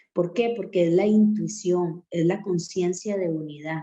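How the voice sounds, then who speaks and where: Amid audible room echo, a woman speaks at a fairly slow pace in a fairly low pitch with a dark, mellow tone. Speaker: reading circle moderator. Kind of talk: lecture.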